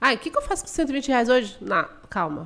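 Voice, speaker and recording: A woman's voice with very wide pitch swings. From Mato Grosso do Sul, Brazil (Dourados). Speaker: financial educator. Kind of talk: podcast interview.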